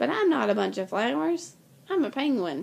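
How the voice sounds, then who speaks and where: A woman puts on a character voice, pitched at a medium level. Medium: read story.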